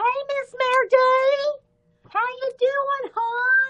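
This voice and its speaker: A woman puts on a squeaky character voice at an extremely high pitch. She goes at a very slow pace with monotone, flat intonation. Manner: warm, cheerful, greeting.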